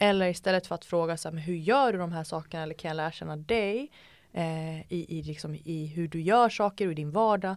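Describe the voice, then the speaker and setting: Speaking at a fairly quick pace with fairly low pitch and ordinary pitch variation, a woman with an unremarkable speaking voice is heard in a very clean recording with a silent background. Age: 20s. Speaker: entrepreneur and TikTok creator. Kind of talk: casual chat.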